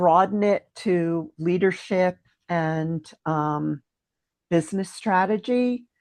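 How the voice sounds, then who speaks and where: Fairly low-pitched female voice with fairly even intonation, dry and close with no echo, over a quiet background. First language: French. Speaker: exit planning business advisor. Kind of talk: casual interview.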